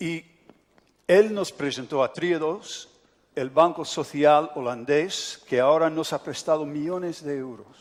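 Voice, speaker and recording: A man speaks at a fairly high pitch with ordinary pitch variation. His pace is fairly slow. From United States. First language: English (speaking Spanish). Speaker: pastor. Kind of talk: sermon.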